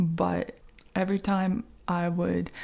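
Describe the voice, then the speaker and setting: A woman's voice with a gentle tone. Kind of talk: ASMR soft-spoken update to camera. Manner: soft-spoken, gentle, whispery.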